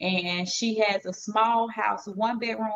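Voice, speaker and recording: A woman speaks with a Southern accent at a fairly high pitch. Her intonation is monotone and flat, and the sound is dry and close with no echo. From US South, Georgia. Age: 40s. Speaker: live stream host. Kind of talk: casual chat.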